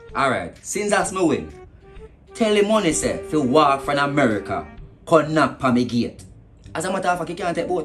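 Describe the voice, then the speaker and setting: With music in the background, a man with a high voice speaks at a moderate pace, pausing long and often. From Jamaica. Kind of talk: comedy sketch, phone call monologue. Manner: sarcastic.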